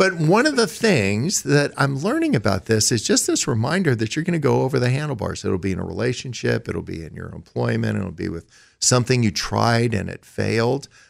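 Talking at a fairly quick pace with hardly any pauses, a man is heard on a very clean recording with a silent background. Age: 60s. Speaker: lawyer and author. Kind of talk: casual chat.

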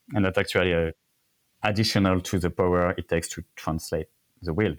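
A fairly quick voice with a French accent, dry and close with no echo, on a very clean recording with a silent background. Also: man. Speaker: cycling industry expert. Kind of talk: casual interview chat. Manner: halting, many fillers.

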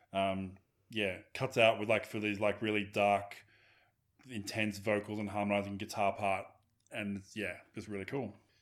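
The speaker has an Australian accent and monotone, flat intonation. The recording is very clean, with a silent background. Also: man, fairly low pitch for a man, moderate pace. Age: 40s. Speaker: podcast host. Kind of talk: casual chat.

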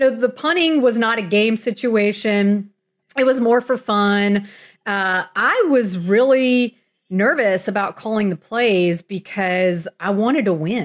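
Against a quiet background, a woman with an American accent speaks at a fairly slow pace in an ordinary speaking voice, her pitch fairly high. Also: ordinary pitch variation. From South Florida (Miami). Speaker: sports writer. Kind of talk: interview conversation. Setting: remote call.

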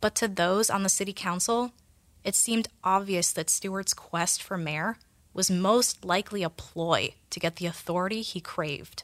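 A plain, everyday voice moves at a moderate pace with fairly even intonation in a dry, close sound with no echo. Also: woman, medium pitch for a woman. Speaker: podcast narrator and researcher. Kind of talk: scripted narration.

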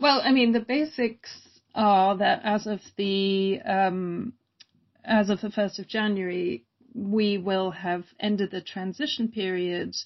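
A woman speaks at a medium pitch with an American accent. Her pace is very slow, and her pitch variation is ordinary. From Germany. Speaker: screen dance curator and producer. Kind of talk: interview.

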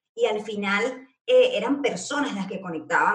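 Audible room echo surrounds a woman's fairly high voice. She speaks at a fairly slow pace. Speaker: Instagram marketing strategist. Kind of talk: casual interview chat. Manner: loud, animated.

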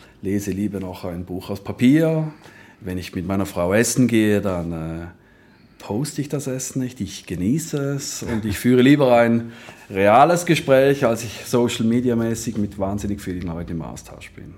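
With a plain, everyday voice, a man at a fairly low pitch speaks at a moderate pace, using lively intonation and big swings in loudness. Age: 40s. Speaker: health insurance executive. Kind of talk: interview conversation.

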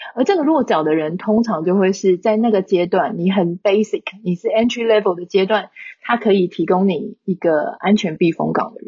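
A somewhat breathy woman's voice at medium pitch, with a moderate pace and ordinary pitch variation. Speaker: online content creator. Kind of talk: casual interview.

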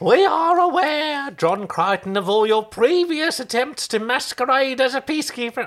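A man does a put-on character voice, squeaky and at an extremely high pitch. Light background noise is audible. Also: moderate pace. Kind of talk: shrill old lady comic voice. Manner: accusing, doom-laden.

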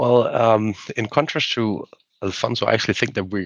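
A man with a plain, everyday voice, fairly low in pitch, at a fairly quick pace. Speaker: macro strategist. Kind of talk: casual panel discussion. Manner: opinionated.

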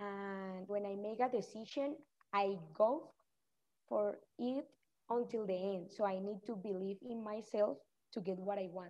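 Speaking with a Spanish accent, a woman with a medium pitch and a dark, mellow tone talks at a fairly slow pace with ordinary pitch variation and long, frequent pauses. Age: young. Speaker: cliff diver. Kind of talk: interview. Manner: halting.

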